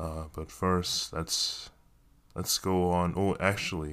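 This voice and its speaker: A man speaks slowly in a flat monotone with a very deep, low pitch. The recording is very clean, with a silent background. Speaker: podcaster and actor. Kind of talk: casual solo monologue. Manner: self-deprecating, laughs often.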